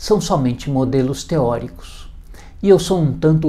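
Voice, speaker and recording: A man's voice, fairly high-pitched, at a fairly slow pace. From Brazil, São Paulo city. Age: 60s. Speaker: hypnotherapist. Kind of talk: video presentation. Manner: formal.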